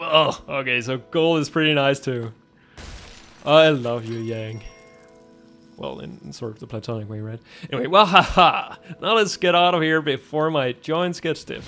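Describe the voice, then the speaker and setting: Over background music, a man with a fairly high voice speaks at a moderate pace with lively intonation, long, frequent pauses, and big swings in loudness. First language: Danish. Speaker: gaming youtuber. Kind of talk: let's play commentary. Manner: animated; halting, many fillers.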